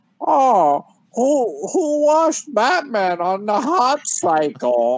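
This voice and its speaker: In a put-on character voice, the speaker talks at a very slow pace with a fairly high pitch and very wide pitch swings. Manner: mocking, sarcastic.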